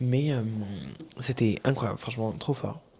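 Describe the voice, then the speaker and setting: A man with a dark, mellow tone and a medium pitch. His voice is somewhat breathy. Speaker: vlogger. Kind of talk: casual vlog talk. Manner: hesitant, many fillers.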